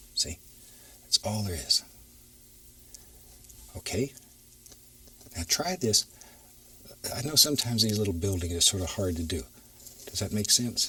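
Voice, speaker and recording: Against noticeable background noise, a man with a fairly low voice speaks at a fairly slow pace. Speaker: painting instructor. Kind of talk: TV painting tutorial.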